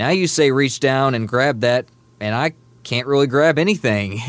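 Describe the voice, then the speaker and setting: This man has a normal speaking voice. His pitch is medium and his pace is moderate. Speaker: program client sharing weight-loss story. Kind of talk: phone-in testimony. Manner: upbeat, laughs while talking.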